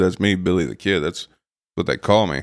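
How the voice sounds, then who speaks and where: The pitch moves in an ordinary way, and the recording is very clean with a silent background. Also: man. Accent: American. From Los Angeles, US. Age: 40s. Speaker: photographer. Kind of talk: interview.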